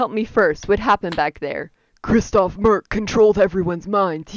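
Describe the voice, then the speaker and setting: A woman puts on a croaky, strained character voice at medium pitch. She speaks at a moderate pace. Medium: solo performance.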